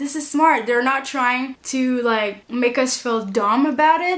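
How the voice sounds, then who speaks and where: Ordinary pitch variation runs through speech delivered at a fairly slow pace. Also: woman. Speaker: YouTuber reviewer. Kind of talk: casual TV review vlog. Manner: animated.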